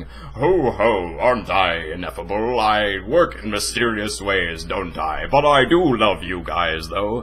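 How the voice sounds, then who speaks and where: A man's put-on character voice, fairly low in pitch, with hardly any pauses and clear background noise. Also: fairly slow pace. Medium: role play. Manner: jovial, smug.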